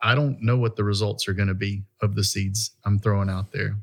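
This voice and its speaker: A fairly low, somewhat breathy male voice at a fairly quick pace, monotone and flat in intonation, on a very clean recording with a silent background. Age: 50s. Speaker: pastor. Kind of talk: casual chat.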